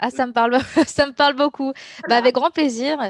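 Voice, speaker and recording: At a moderate pace, a woman speaks with a dry, close sound with no echo over a quiet background. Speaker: professional fighting game player. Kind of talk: interview answer.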